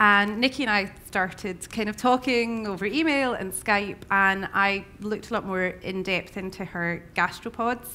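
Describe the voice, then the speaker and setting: At a moderate pace and with hardly any pauses, a woman speaks in an Irish accent with a bright, sharp tone and ordinary pitch variation. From Ireland. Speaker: chef. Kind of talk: panel discussion. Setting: stage with audience. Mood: relaxed, animated. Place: hall. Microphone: headset.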